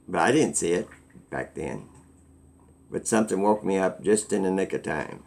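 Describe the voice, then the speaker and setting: A very deep, low male voice with vocal fry and lively intonation, at a moderate pace with long, frequent pauses. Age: 60s. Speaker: vlogger. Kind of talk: casual monologue.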